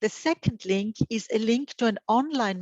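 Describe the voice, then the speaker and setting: At a fairly slow pace, a woman speaks with ordinary pitch variation, her sound dry and close with no echo. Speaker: presenter at an information day. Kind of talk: online presentation. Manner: halting, many fillers.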